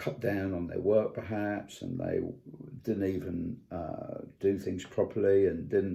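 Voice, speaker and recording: At a fairly slow pace, a man talks in a British accent. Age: 70s. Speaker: vlogger. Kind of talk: personal video commentary. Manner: halting, many fillers and repetitions.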